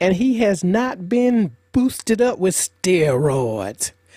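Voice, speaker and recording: Dark and mellow in tone, this voice has an American accent and very wide pitch swings, with a dry, close sound and no echo. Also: woman. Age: 70s. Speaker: retired cotton farm elder. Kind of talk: interview storytelling.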